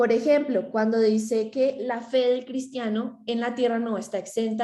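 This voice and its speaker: A woman's fairly high voice in a dark, mellow tone. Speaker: theology student presenting. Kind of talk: class presentation. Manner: fast.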